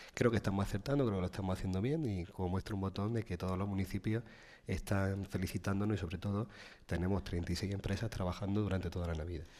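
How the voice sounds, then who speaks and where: Against a quiet background, a man with a fairly low voice and a dark, mellow tone talks at a very fast pace with fairly even intonation. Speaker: provincial council president and town mayor. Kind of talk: radio interview.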